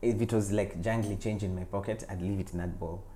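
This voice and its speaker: A man speaks fairly quickly at a very deep, low pitch, with a dark, mellow, somewhat breathy tone. His intonation is monotone and flat, and room echo is audible. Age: 40s. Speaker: actor and writer. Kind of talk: interview.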